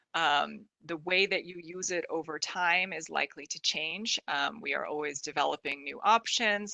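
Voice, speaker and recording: A woman's fairly low voice with vocal fry and a bright, sharp tone, at a moderate pace with hardly any pauses, ordinary pitch variation, and a quiet background. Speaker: product specialist presenting a webinar; product trainer presenting a webinar. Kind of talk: webinar presentation. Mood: friendly, wrapping up. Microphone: video call.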